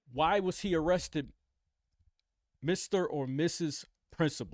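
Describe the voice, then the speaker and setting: A man speaks loudly at a fairly slow pace, his high voice animated with ordinary pitch variation. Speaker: reaction commentator. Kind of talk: casual commentary reacting to news video. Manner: animated, repetitive.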